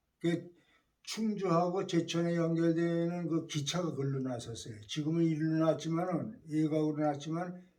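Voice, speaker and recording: A man with a fairly high voice keeps a moderate pace and fairly even intonation. Audible room echo surrounds him. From South Korea, Chungju (North Chungcheong). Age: 80s+. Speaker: war-bereaved family member. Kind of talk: life-story interview. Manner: halting, many fillers and restarts.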